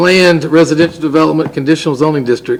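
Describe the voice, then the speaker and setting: A man's fairly high-pitched voice with a Southern US accent and fairly even intonation. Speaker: city council member. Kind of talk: council meeting motion reading. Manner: formal.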